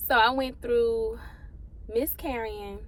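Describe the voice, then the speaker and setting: A woman speaks in an animated tone at a fairly slow pace. Audible room echo surrounds her voice. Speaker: vlogger. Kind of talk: casual vlog monologue. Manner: halting, holding back tears.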